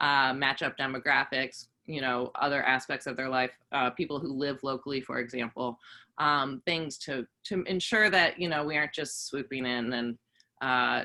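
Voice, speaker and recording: A woman speaks in a very deep, low pitch with a bright, sharp tone and ordinary pitch variation, on a very clean recording with a silent background. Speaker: voter registration organizer. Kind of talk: presentation to community groups. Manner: fast; many fillers, hesitant.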